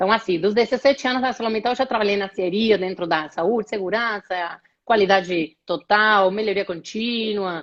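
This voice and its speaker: With an Argentine accent, a woman speaks at medium pitch and a moderate pace. Her pitch variation is ordinary and she takes hardly any pauses. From Argentina, Rosário. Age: 30s. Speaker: HR executive. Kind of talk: live interview. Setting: online live stream.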